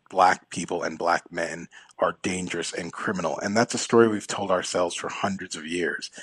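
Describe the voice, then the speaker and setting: This man is heard with a dry, close sound that has no echo. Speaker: law professor. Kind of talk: radio interview. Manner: articulate, emphatic.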